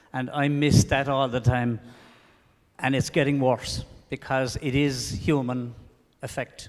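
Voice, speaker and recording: Speaking fairly slowly, a man leaves long, frequent pauses. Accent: Irish. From Ireland. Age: 60s. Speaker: audience member. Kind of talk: audience question. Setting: lecture hall with audience.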